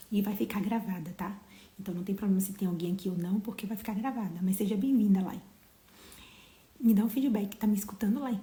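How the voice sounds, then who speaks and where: A soft-spoken woman talks at a fairly quick pace with medium pitch and fairly even intonation, leaving long, frequent pauses. Noticeable background noise runs underneath. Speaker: motivational live streamer. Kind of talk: casual live stream chat. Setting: home livestream, bedroom. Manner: speaking softly.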